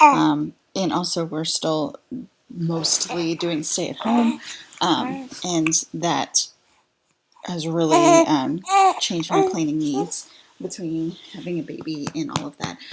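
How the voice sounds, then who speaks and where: A quiet voice with an American accent at a very slow pace, broken by long, frequent pauses. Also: woman, fairly low pitch for a woman, lively intonation. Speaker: mom vlogger and virtual assistant. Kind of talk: tutorial. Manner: quiet, low-voiced; hesitant, many fillers.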